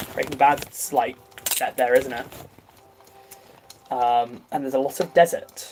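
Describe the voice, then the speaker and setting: Very wide pitch swings from a man at a moderate pace, with noticeable background noise. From England. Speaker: YouTuber livestreaming. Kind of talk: casual livestream chat. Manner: halting, filler-heavy.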